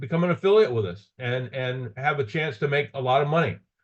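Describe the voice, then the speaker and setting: A man is talking. His pace is fairly quick. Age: 60s. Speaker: business presenter. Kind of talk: sales pitch. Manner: halting.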